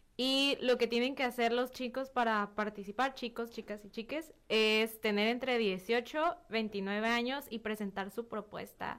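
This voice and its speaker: A woman speaks at a fairly slow pace with hardly any pauses, her pitch fairly high. It is a plain, everyday voice with ordinary pitch variation. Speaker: youth parliament member, lawyer. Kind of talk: radio interview. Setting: radio studio.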